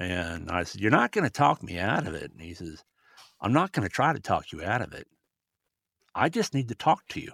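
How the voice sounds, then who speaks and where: A man with an American accent speaks at a fairly quick pace in a fairly low voice with very wide pitch swings, big swings in loudness, and long, frequent pauses. The recording is very clean with a silent background and a dry, close sound with no echo. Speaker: bereaved grandfather, suicide prevention advocate. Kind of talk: testimony.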